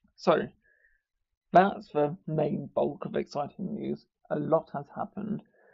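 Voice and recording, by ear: A man's slow, fairly high voice with a slightly mellow tone, vocal fry, a slightly husky edge and fairly even intonation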